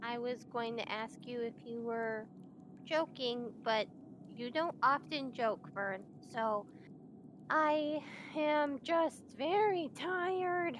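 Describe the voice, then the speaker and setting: A woman does a put-on character voice, high-pitched and very slow, with long, frequent pauses over clear background noise. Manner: tired, blunt.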